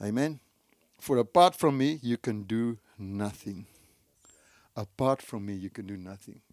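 Here a man talks in an Afrikaans South African accent, his pitch fairly low with ordinary variation. The sound is dry and close, with no echo. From South Africa, Free State. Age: 60s. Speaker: pastor. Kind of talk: sermon. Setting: church.

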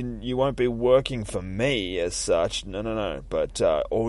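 What you hear is plain reading aloud.

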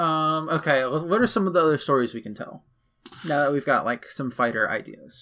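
A man with a fairly high voice and a bright, sharp tone talks at a fairly quick pace with lively intonation. The recording is very clean, with a silent background. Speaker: podcast co-host. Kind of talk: casual chat. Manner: sometimes raises pitch to sound higher.

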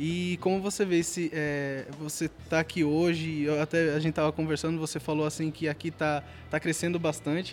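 A man talks at a moderate pace with hardly any pauses. His fairly high pitch stays monotone and flat. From Pernambuco interior, Brazil. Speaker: college podcast host. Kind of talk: event interviews. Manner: halting.

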